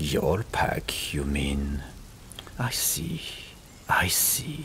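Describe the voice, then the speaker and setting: A man whispers in a put-on character voice. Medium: read story. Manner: measured, regal.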